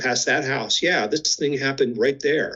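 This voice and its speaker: A man talks at a fairly quick pace in a plain, everyday voice. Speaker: clinical psychologist. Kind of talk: interview.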